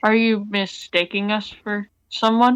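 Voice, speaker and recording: A man does a put-on character voice, high in pitch, monotone and flat, at a fairly slow pace. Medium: actual play. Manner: impatient, brusque.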